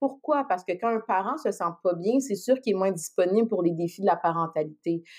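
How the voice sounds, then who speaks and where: Here a woman speaks in an ordinary speaking voice with lively intonation. Her pace is fairly quick. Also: medium pitch for a woman, hardly any pauses. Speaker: psychologist. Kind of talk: casual podcast interview.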